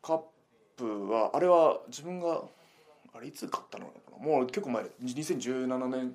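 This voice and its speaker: A man of medium pitch talks at a fairly slow pace with long, frequent pauses, big swings in loudness and ordinary pitch variation. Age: 30s. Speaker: pro wrestler. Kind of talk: casual chat. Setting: recorded on a recorder.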